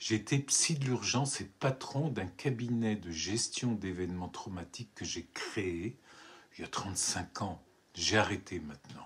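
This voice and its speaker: There's some breathiness to this voice. The pitch rises and falls in an ordinary way. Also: man. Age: 70s. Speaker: writer and poet. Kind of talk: book presentation monologue. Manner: hesitant, repeats words.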